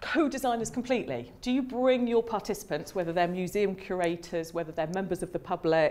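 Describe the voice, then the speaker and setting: A British-accented woman at a fairly quick clip, medium in pitch, lively in intonation, with hardly any pauses, on a very clean recording with a silent background. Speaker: academic psychologist giving a seminar talk. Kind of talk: lecture. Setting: seminar room with audience. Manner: fast; hesitant, many fillers.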